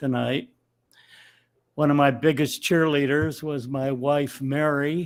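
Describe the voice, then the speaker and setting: Very slowly and in a monotone, flat intonation, a man with an American accent talks at a fairly high pitch. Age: 90s. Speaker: honored community elder. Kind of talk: acceptance speech. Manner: halting.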